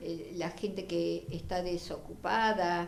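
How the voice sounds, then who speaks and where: A woman with fairly low pitch and ordinary pitch variation speaks at a very slow pace. Audible room echo and noticeable background noise are present. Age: 70s. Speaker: feminist activist and writer. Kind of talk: interview. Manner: halting.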